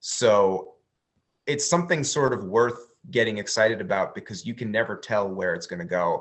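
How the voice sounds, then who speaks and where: Using an unremarkable speaking voice, a man talks at a moderate pace and medium pitch with lively intonation. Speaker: woodworking YouTuber. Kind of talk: interview conversation.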